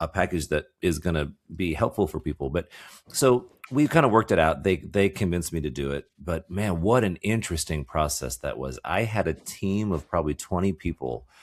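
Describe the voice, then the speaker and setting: Very deep and low, a man's voice shows vocal fry in a very clean recording with a silent background. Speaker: podcast co-host. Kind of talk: casual chat. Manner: halting, repeated words.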